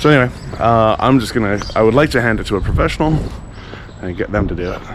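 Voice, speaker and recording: Very fast speech from a man at medium pitch, with audible room echo and noticeable background noise. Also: ordinary pitch variation. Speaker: motorcycle travel vlogger. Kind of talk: casual vlog talk. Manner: halting, many fillers.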